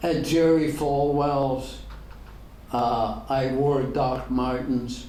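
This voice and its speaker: A man with an American accent speaks in a flat monotone, with audible room echo and noticeable background noise. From Ireland. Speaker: pastor. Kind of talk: Q&A at a luncheon talk.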